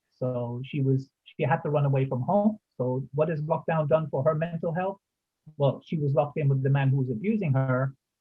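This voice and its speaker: At a moderate pace, a man with a fairly high pitch and ordinary pitch variation speaks in an unremarkable speaking voice. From United States. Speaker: community safety volunteer, ex-military. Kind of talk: group discussion.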